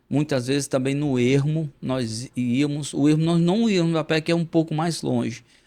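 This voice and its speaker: Moderately paced speech from a man, with ordinary pitch variation. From Brazilian Northeast, Currais Novos (Rio Grande do Norte). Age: 50s. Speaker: pastor and poet. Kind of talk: interview conversation. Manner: halting, many repetitions.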